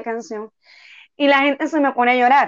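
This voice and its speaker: The woman's voice is high in pitch. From Venezuela, Tucupita. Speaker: street singer. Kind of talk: interview.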